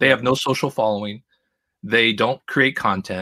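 A man with an American accent speaks at a fairly quick pace in a bright, sharp tone. The sound is dry and close, with no echo. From Southern California. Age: 40s. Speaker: magazine publisher. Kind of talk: casual interview.

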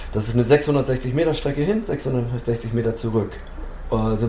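A man talks with ordinary pitch variation, his voice carrying audible room echo amid noticeable background noise. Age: 50s. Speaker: trail runner and race organizer. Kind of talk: casual chat.

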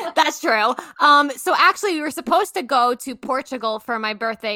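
Dry and close with no echo, a woman's bright, sharp voice carries a New York accent at a moderate pace. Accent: New York American. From Long Island, New York. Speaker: travel blogger. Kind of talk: interview.

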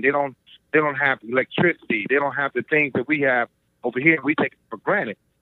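A man's normal speaking voice, fairly high-pitched and fairly quick, with an American accent. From Cleveland, Ohio. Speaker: retired navy officer and author. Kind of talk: interview.

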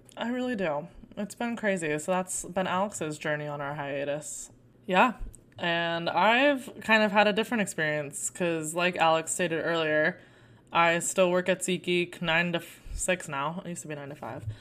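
A woman with an American accent, fairly low in pitch with ordinary pitch variation and big swings in loudness, at a moderate pace on a very clean recording with a silent background. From Arizona. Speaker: podcast co-host. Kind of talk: casual chat.

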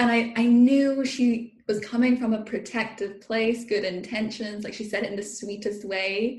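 A woman with a British accent speaks somewhat breathily at a fairly slow pace, her pitch fairly high. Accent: British-sounding. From international upbringing, Irish parents, UK-influenced. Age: 20s. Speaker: food and body coach. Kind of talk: casual interview chat. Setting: remote recording, sitting on her floor. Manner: animated, laughs often.

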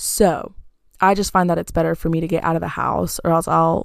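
On a very clean recording with a silent background, a woman speaks at a moderate pace. She has an American accent and an animated tone. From US South. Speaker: podcast host. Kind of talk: casual solo chat. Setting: in bed at home.

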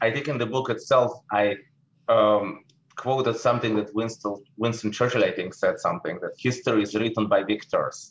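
At a moderate pace, a man speaks in a Russian accent. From Russia, St. Petersburg. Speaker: investment manager. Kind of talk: interview.

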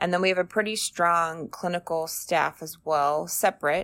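Speaking in an ordinary speaking voice with an American accent, a woman keeps a fairly low pitch, fairly even intonation and a moderate pace in a very clean recording with a silent background. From Arizona, US. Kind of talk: casual interview.

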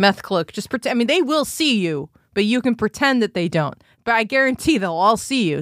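On a very clean recording with a silent background and a dry, close sound free of echo, a woman speaks at a moderate pace in an animated tone with very wide pitch swings. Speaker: stand-up comedian. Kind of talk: casual comedic chat. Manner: animated, profane.

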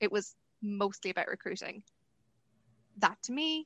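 A woman's bright, sharp, fairly high-pitched voice. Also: dry, close sound with no echo. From Ireland. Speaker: university lecturer and researcher. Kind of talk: interview. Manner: hesitant, many fillers.

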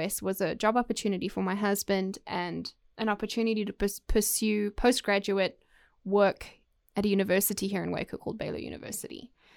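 In a South African accent, a woman speaks at a fairly quick pace with a medium pitch and fairly even intonation. The recording is very clean with a silent background and a dry, close sound with no echo. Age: 30s. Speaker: podcast host. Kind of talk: personal monologue. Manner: halting, many fillers.

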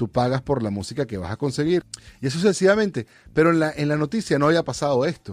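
Recorded with a dry, close sound and no echo, a man talks at a very fast pace and a fairly high pitch. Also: lively intonation. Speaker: podcast host. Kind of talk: casual monologue.

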